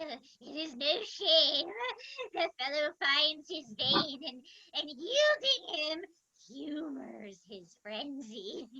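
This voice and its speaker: Using a put-on character voice, a woman speaks at a high pitch and a very slow pace, with big swings in loudness. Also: lively intonation. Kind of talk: theatrical Shakespeare reading. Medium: stage play. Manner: overwrought, melodramatic.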